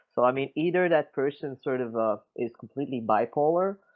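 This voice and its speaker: Here a man speaks with a Quebec accent at a fairly high pitch. His pitch varies in an ordinary way. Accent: Quebecois French-accented English. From Quebec City, Canada. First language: French. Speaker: crypto community member. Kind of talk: casual discussion. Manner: halting, many fillers.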